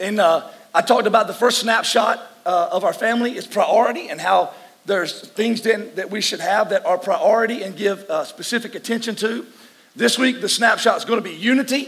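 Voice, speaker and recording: Noticeable background noise sits under a voice moving at a fairly quick pace with ordinary pitch variation. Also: man. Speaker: pastor. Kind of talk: sermon. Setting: church service.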